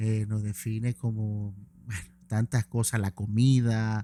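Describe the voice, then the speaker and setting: With a Maracaibo accent, a man speaks at a medium pitch in a dark, mellow tone, the sound dry and close with no echo in a very clean recording with a silent background. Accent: Maracucho Venezuelan. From Venezuela, Maracaibo (Zulia). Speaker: event promoter. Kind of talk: interview.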